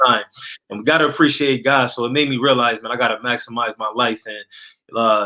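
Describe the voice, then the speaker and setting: An ordinary speaking voice from a man with an American accent comes at a medium pitch and a fairly quick pace, with fairly even intonation. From Niagara Falls, New York. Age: 30s. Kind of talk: testimony.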